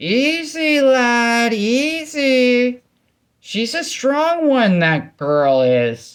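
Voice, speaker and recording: A man's put-on character voice at an extremely high pitch, on a very clean recording with a silent background. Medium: read story. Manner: folksy, teasing.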